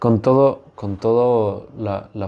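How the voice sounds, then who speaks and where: A man is speaking. His tone is dark and mellow. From Mexico. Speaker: podcast host. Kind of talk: interview.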